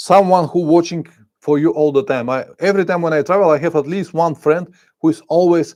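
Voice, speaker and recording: In a non-native accent, a high-pitched man speaks at a fairly quick pace with fairly even intonation over a quiet background. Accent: foreign accent in English. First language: Bulgarian. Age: 50s. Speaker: motorcycle travel vlogger. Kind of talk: live stream chat reading comments. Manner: halting, searching for words.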